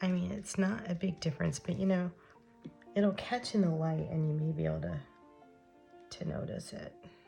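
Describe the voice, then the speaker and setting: With music playing in the background, a woman talks at a moderate pace, leaving long, frequent pauses. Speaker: craft tutorial host. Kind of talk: casual craft tutorial talk. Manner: hesitant, many fillers.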